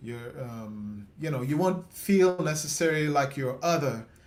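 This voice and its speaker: In an American accent, a man speaks at a moderate pace with audible room echo around him. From West Indies. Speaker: interview host. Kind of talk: casual interview chat.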